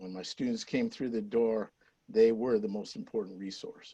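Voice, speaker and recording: A man's plain, everyday voice, fairly quick, with fairly even intonation. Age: 60s. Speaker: retired teacher, city council candidate. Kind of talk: campaign closing statement. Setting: virtual candidate forum.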